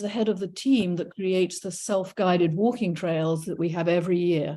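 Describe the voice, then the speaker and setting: A woman with an English accent speaks at a moderate pace and a medium pitch. Her tone is dark and mellow, with ordinary pitch variation. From England. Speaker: retired professor and naturalist docent. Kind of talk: illustrated talk. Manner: hesitant with frequent fillers.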